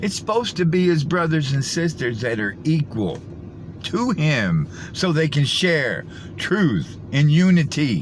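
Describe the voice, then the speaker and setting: Against noticeable background noise, a man with a fairly high pitch speaks at a fairly slow pace with lively intonation. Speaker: conspiracy video commentator. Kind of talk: reaction commentary.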